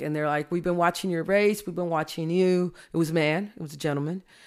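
A woman with an American accent has a normal speaking voice, fairly low in pitch. Her intonation stays fairly even in a very clean recording with a silent background. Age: 50s. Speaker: judge. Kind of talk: casual chat.

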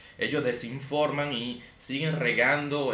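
A man's speech comes with noticeable background noise and audible echo from the room. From Dominican Republic. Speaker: podcast host. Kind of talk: casual chat.

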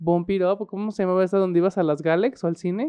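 A man talks at a very fast pace in a high voice. His intonation stays fairly even. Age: 30s. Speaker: podcast co-host. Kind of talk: casual chat.

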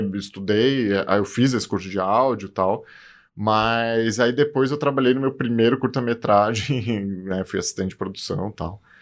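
Over a very clean, silent background, a man speaks at a fairly slow pace. His pitch is medium, with ordinary variation. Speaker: film director and cinephile co-host. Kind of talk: casual chat.

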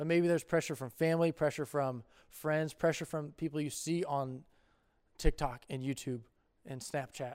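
Recorded very cleanly against a silent background, a man talks at a moderate pace. His pitch is fairly high, with ordinary variation. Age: 20s. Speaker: youth pastor. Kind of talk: youth group talk. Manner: animated.

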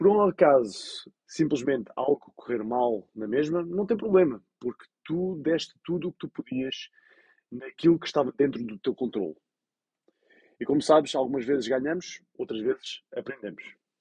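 A man with a European Portuguese accent speaks at a moderate pace in a fairly high pitch with an energetic tone and lively intonation, the sound dry and close with no echo. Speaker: podcast host. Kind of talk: pep talk, motivational monologue. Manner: energetic, motivational, direct address to listener; emphatic, encouraging.

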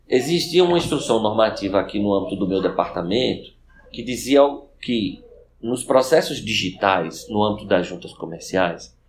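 A man speaks in a normal speaking voice at a medium pitch and a moderate pace. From Recife, northeastern Brazil. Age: 40s. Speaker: law professor and government official. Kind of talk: podcast interview.

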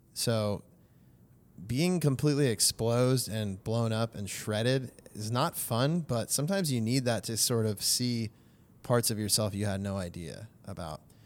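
This man has a normal speaking voice with an American accent. His pitch varies in an ordinary way, and the recording is very clean with a silent background. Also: medium pitch for a man, moderate pace. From US West Coast (Valencia, California). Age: 30s. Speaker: church member. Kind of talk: casual interview.

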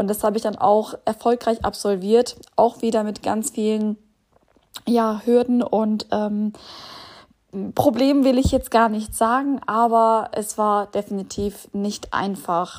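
Delivered very slowly, the words carry a fairly level intonation. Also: woman, fairly high pitch for a woman. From Bielefeld, Germany. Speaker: podcaster, single mother. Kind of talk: personal monologue.

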